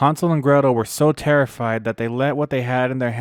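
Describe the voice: This is plain reading aloud. The delivery stays simple and straightforward.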